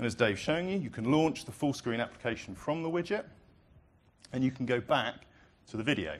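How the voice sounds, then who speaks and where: A man with a British accent at a very fast pace with lively intonation. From Britain. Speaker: product presenter. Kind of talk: live product demo presentation.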